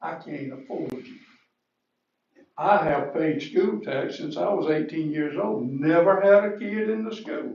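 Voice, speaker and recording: Here a man with a fairly high pitch uses lively intonation and big swings in loudness. He speaks at a fairly slow pace, and the room echo is audible. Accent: Georgia. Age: 70s. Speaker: resident speaking from the floor. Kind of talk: public comment.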